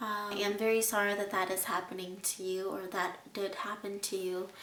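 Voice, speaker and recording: A woman is recorded with audible room echo and noticeable background noise. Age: 20s. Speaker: abuse survivor vlogger. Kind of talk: personal testimony and advice. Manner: halting, many fillers.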